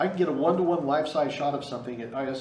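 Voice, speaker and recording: A man talks at a very fast pace with medium pitch and lively intonation. The recording has audible room echo and noticeable background noise. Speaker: photography instructor. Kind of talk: lecture.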